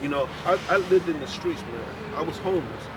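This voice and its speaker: This man speaks in a high voice against noticeable background noise. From North Philadelphia. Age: 60s. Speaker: passerby. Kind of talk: casual chat.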